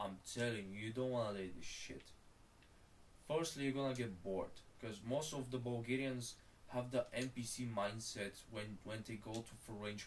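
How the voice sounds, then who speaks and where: The man's voice bounces audibly around the room. He keeps to a moderate speed. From Bulgaria. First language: Bulgarian. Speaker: streamer. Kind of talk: casual live-stream commentary. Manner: animated.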